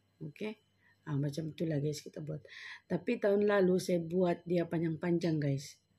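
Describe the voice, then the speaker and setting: A woman's somewhat breathy, dark, mellow voice at a fairly low pitch, with ordinary pitch variation and a moderate pace. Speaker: home baker vlogger. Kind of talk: cooking tutorial. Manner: casual, chatty.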